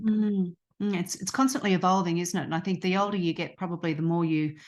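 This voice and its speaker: The speaker has an Australian accent with ordinary pitch variation. The background is quiet. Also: woman. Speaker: podcast host and coach. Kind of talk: interview conversation.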